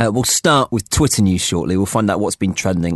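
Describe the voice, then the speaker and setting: Against a quiet background, a man with a British accent speaks at a fairly low pitch. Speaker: radio host. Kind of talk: casual chat.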